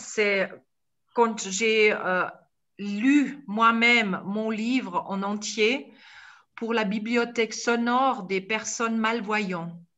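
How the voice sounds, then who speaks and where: A woman speaks at a very slow pace in a Swiss accent. Her pitch is fairly high. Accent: Swiss (speaker's own words). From India, Tibetan refugee community. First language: Tibetan (speaking French). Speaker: storyteller and author. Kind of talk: online talk Q&A. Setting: video call.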